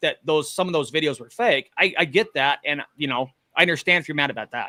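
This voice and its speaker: A man talks at a fairly quick pace in a bright, sharp, fairly high voice, recorded very cleanly with a silent background. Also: dry, close sound with no echo. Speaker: live streamer, paranormal investigator. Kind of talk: heated debate. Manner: loud.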